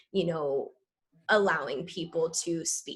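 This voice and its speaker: Against a quiet background, a woman with an ordinary speaking voice talks at a fairly slow pace with ordinary pitch variation. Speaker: leadership program coordinator. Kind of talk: presentation on video call. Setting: video call.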